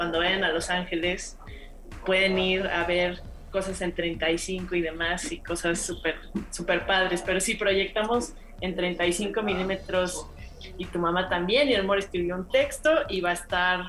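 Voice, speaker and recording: Amid noticeable background noise and audible room echo, a woman at a medium pitch talks at a fairly slow pace with fairly even intonation. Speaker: former radio co-host, film festival programmer. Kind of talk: casual chat.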